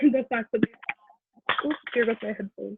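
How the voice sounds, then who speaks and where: A woman talks at a moderate pace. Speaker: undergraduate research scholar. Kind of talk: thank-you remarks on a panel. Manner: loud.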